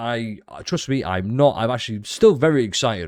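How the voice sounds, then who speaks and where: A man with a British accent speaks with very wide pitch swings on a very clean recording with a silent background. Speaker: gaming video creator. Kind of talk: casual commentary. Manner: sarcastic.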